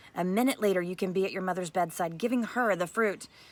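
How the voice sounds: Someone reads in a natural voice, the pitch varying in an ordinary way.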